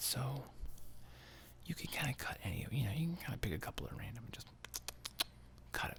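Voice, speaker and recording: A relaxed, whispering voice. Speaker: ASMR channel host and movie reviewer. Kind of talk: soft-spoken ASMR movie review, casual talk to camera. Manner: soft-spoken, relaxed, conversational.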